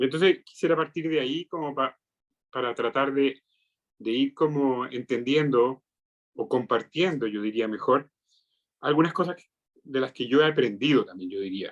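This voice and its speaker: A man with a Chilean accent and a fairly high pitch, at a moderate pace with long, frequent pauses, in a dry, close sound with no echo. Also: ordinary pitch variation. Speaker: psychiatrist. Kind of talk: lecture.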